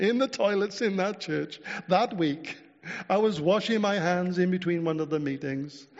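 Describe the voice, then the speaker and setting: High-pitched male speech with ordinary pitch variation at a moderate pace, over noticeable background noise. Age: 60s. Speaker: preacher. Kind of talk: sermon. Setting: church. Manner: halting.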